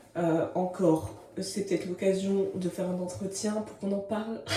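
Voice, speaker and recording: Amid noticeable background noise and audible room echo, a woman speaks at a fairly slow pace in a medium pitch. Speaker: vlogger. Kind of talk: casual vlog monologue. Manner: energetic, animated.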